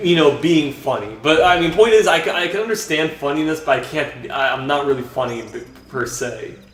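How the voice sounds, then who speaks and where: A man's fairly high, lively voice at a fairly quick pace with hardly any pauses, plus audible room echo and noticeable background noise. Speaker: vlogger. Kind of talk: casual vlog monologue while gaming. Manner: halting.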